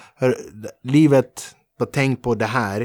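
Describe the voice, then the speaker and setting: Recorded dry and close with no echo, over a silent background on a very clean recording, a man with an ordinary speaking voice talks at medium pitch with fairly even intonation. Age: 40s. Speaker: podcast host and comedian. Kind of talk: casual interview. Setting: studio.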